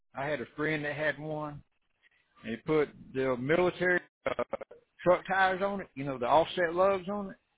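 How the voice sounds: With a slightly husky edge, a man talks at a moderate pace in a fairly high pitch with ordinary pitch variation.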